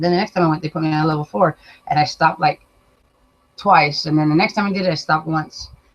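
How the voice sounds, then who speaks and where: Very deep, low, somewhat breathy female voice at a very fast pace, with fairly even intonation. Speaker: vlogger. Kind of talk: casual chat. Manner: slurred at times.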